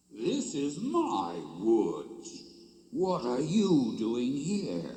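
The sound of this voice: A booming, put-on character voice from a man, very slow, with a slight echo.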